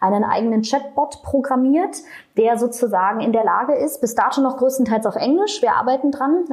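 Her pitch moves in an ordinary way as the woman speaks at a fairly quick clip. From Berlin, Germany. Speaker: non-profit executive. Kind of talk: interview.

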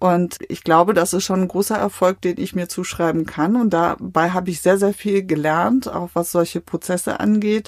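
This woman has a normal speaking voice, medium in pitch, with fairly even intonation at a moderate pace. She speaks with hardly any pauses in a very clean recording against a silent background. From Westphalia, Germany. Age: 50s. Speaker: politician. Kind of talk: interview. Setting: small recording room.

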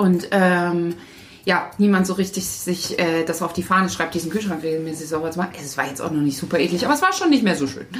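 A woman at a fairly low pitch and very fast pace, with a slight Thuringian accent and noticeable background noise. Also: ordinary pitch variation. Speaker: podcast co-host. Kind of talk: casual chat.

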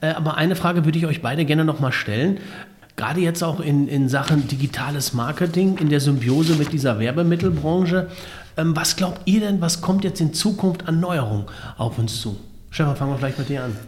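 A man's fairly high-pitched voice at a fairly quick pace, with lively intonation and audible room echo. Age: 40s. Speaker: podcast host. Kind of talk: interview.

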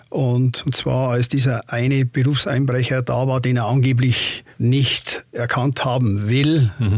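Somewhat breathy, a man speaks at a very slow pace with ordinary pitch variation on a very clean recording with a silent background. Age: 60s. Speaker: retired judge. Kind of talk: interview. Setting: studio.

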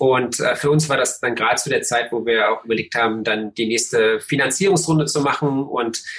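A moderately paced man's voice, medium in pitch, with ordinary pitch variation. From eastern Germany, Cottbus. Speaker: tech founder and investor. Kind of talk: interview. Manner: relaxed; halting, many fillers.

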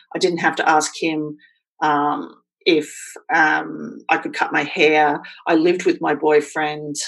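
A woman with an Australian accent talks in a very deep, low pitch with monotone, flat intonation. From Australia, Queensland. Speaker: blogger and writer. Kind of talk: casual chat.

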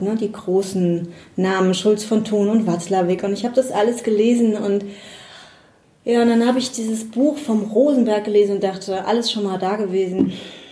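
A woman talks at a moderate pace, her pitch medium with ordinary variation. Audible room echo surrounds her voice. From Rhineland-Palatinate, near Bad Kreuznach. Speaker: psychologist and coach. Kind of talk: interview. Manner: hesitant, many fillers.

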